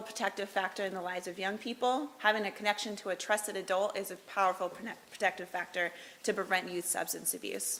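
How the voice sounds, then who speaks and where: The intonation stays monotone and flat. The pace is fairly quick. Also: woman. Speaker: public health official. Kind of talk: presentation. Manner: loud; fast.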